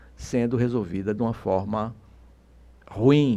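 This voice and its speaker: Dark and mellow in tone, a man's medium-pitched voice moves at a fairly slow pace. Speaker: political commentator. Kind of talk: radio interview.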